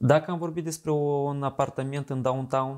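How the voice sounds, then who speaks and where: Against a quiet background, a man speaks at a moderate pace in a monotone, flat intonation. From Moldova. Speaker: show host. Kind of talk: interview. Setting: outdoors. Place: home room. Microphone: lapel.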